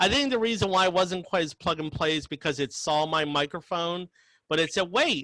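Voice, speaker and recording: A man talks at a fairly quick pace with a high pitch. His tone is bright and sharp, and his pitch varies in an ordinary way. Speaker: assistive technology instructor. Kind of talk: workshop presentation Q&A. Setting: video call. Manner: upbeat. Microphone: new external USB microphone.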